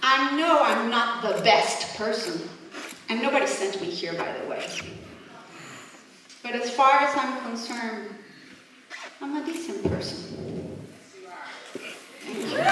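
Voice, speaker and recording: A woman speaks in a high voice at a fairly slow pace, with long, frequent pauses. Noticeable background noise and audible room echo surround her. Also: lively intonation. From Mexico. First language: Spanish. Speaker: immigrant rally speaker. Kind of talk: protest speech.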